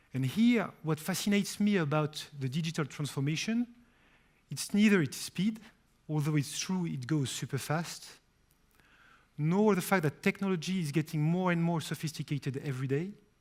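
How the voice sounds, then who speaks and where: A man with a French accent speaks at a moderate pace in a fairly high pitch, with ordinary pitch variation, on a very clean recording with a silent background. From France. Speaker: company CEO. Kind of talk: press conference speech.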